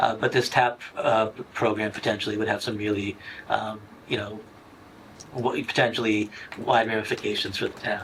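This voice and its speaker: A man talks in a fairly low pitch with monotone, flat intonation. He leaves long, frequent pauses, and noticeable background noise runs underneath. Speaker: assistant town manager and economic development director. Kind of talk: public committee meeting presentation. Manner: fast; halting, many fillers and restarts.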